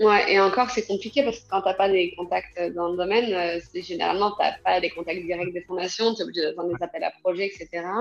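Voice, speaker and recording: A woman talking with hardly any pauses and ordinary pitch variation, noticeable noise behind her. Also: medium pitch for a woman, fairly quick pace. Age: 30s. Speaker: association founder. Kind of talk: interview. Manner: hesitant, many fillers.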